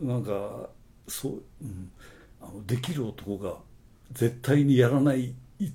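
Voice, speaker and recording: Speaking very slowly with long, frequent pauses, a man uses a medium-pitched, somewhat breathy voice with a dark, mellow tone. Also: ordinary pitch variation. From Okayama, Japan (rural). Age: 60s. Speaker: advertising agency owner. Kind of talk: casual interview.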